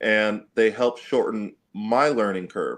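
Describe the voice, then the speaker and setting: An ordinary speaking voice moves at a fairly slow pace against a quiet background. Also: man. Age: young. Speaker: athlete and entrepreneur. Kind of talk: casual chat. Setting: video call.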